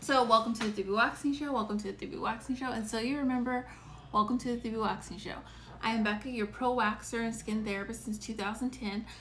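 Light background noise sits behind a woman speaking at a fairly quick pace. Her intonation stays fairly even. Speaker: esthetician hosting a live show. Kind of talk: casual livestream chat. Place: home room. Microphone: phone near.

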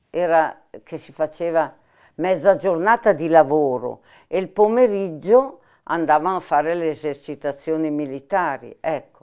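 A woman speaks with a dark, mellow tone and a very deep, low pitch. Her intonation is lively and her loudness swings widely. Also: quiet background. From Milan, northern Italy. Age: 80s+. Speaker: former partisan, war witness; interviewee. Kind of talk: oral history interview. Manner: halting, with hesitations. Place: home room.

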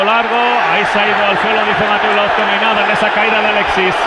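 With noticeable background noise behind him, a man speaks in an animated tone. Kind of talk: live football commentary. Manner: animated, fast play-by-play delivery, rising to shouts on big chances; excitable, rapid-fire, clipped sentences.

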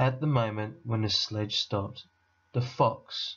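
The reading voice is unforced, and the intonation stays fairly even.

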